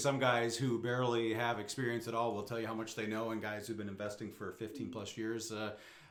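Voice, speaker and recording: Room echo can be heard. The pace is fairly quick. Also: man. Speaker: real estate podcast host. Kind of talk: casual interview.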